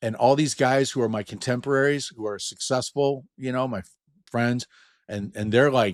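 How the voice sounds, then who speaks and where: With a dry, close sound and no echo, a man of medium pitch talks at a moderate pace with ordinary pitch variation. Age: 60s. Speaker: inventor and entrepreneur. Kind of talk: casual interview chat. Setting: video call. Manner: animated.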